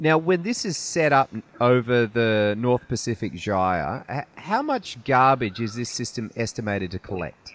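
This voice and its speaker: This is a normal speaking voice from a man with a medium pitch. He talks at a moderate pace with lively intonation. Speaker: podcast host. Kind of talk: casual interview. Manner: casual, chatty.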